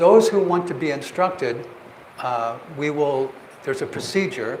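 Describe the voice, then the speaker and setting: With an American accent, a man with a fairly high pitch speaks at a fairly slow pace and with lively intonation, amid noticeable background noise and audible room echo. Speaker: meditation teacher. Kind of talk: lecture.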